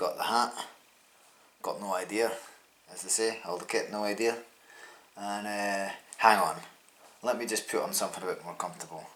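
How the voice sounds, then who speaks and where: Speaking in a Scottish accent at a fairly quick pace but with long, frequent pauses, a man with a fairly low pitch and monotone, flat intonation is heard with audible room echo. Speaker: amateur triathlete and vlogger. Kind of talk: casual vlog talk.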